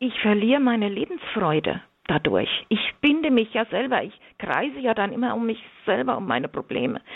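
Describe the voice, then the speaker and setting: Her fairly high voice swinging very widely in pitch, a woman speaks. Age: 60s. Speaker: religion teacher and marriage communication trainer. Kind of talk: radio interview. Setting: remote line into radio studio.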